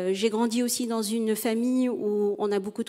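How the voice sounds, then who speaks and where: Against a quiet background, a woman with a dark, mellow tone speaks fairly slowly with fairly even intonation. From Tunisia. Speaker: psychologist and entrepreneur; panelist. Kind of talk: panel discussion. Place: stage. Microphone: handheld.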